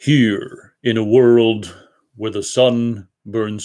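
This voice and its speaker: A man does a put-on character voice at a medium pitch, speaking very slowly with monotone, flat intonation. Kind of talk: deep dramatic announcer voice. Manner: dramatic, epic.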